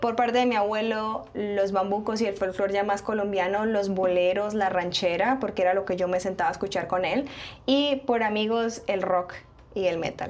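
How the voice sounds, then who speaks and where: A woman speaks at a moderate pace, her intonation fairly even, with noticeable background noise throughout. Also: medium pitch for a woman, very even loudness. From Colombia, Bucaramanga (Santander). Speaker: singer. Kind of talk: interview. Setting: studio.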